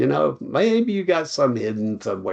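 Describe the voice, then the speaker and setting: A man talks with a Tennessee accent. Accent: Southern US (Tennessee). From US South. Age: 70s. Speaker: retired college dean and charity founder. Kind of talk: interview conversation.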